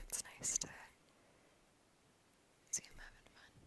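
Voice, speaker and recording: A whisper comes through with noticeable background noise around it. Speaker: ASMR creator, literature student. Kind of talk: ASMR whispered reading and rambling. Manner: whispered, soft, rambling.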